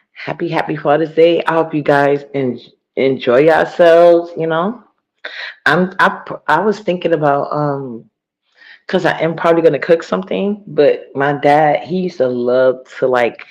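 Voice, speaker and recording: A soft-spoken woman has a very deep, low pitch. She talks at a moderate pace. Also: ordinary pitch variation. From US Northeast (New York, Harlem). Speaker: live streamer. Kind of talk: casual live stream chat. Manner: soft-spoken, talking low.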